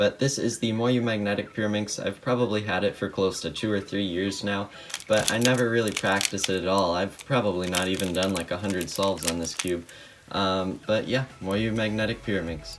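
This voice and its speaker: A man's fairly low voice at a fairly quick pace, fairly even in intonation, over noticeable background noise. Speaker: speedcuber. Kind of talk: casual talk to camera, product showcase.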